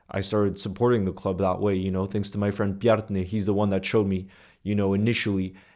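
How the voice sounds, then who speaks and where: Recorded very cleanly against a silent background, a man speaks at a fairly low pitch with a dark, mellow tone and monotone, flat intonation. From United States, early childhood in Iceland. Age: 20s. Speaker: content creator. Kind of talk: casual storytelling monologue to camera. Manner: informal, with fillers and repetitions.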